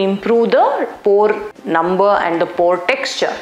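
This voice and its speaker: A woman is speaking. Some room echo can be heard around her voice. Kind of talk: explainer to camera. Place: studio. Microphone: lapel.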